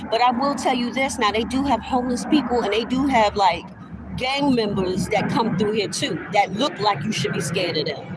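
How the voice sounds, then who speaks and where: A woman's fairly high voice with lively intonation, a moderate pace and noticeable background noise. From New York. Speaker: vlogger. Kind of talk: casual monologue. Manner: animated.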